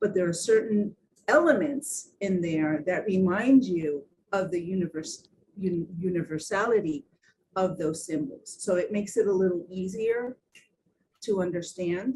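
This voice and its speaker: At a moderate pace, a woman with a medium pitch talks in a dark, mellow tone that is somewhat breathy, her intonation lively. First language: Spanish or Portuguese. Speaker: design symposium panelist. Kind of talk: panel discussion. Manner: halting, many fillers and repeats.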